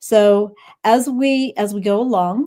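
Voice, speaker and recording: A woman speaks in a dark, mellow tone with an American accent. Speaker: business founder and show host. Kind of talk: live stream interview. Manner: halting.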